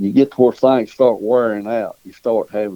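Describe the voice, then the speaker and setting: A dark, mellow tone in a Southern US accent at a moderate pace. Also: man. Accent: Southern US rural. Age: 70s. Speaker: dog breeder and hunter. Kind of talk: casual interview.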